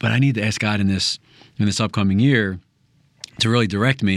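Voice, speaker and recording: Heard on a very clean recording with a silent background, a man speaks at a fairly low pitch. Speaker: Bible study participant. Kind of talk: group Bible discussion and prayer.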